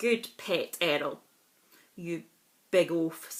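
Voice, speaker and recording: A woman puts on a character voice that is gruff. Her pitch sits fairly low. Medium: read story. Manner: grumpy, gruff.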